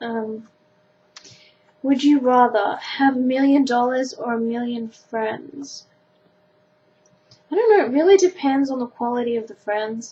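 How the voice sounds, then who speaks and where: A woman with an Australian accent talks at a fairly slow pace in a high voice, with ordinary pitch variation. Her loudness swings widely, and she leaves long, frequent pauses. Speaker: vlogger. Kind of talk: casual chat. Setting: webcam recording at home.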